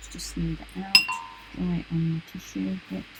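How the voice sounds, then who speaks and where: A soft-spoken woman with a British accent talks at a moderate pace over music in the background. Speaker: art teacher. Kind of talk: tutorial.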